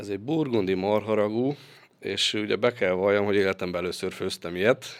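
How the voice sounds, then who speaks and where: A man's fairly quick speech is captured in a very clean recording with a silent background. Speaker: sports physiotherapist and masseur, former footballer. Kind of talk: interview. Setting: studio. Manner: halting.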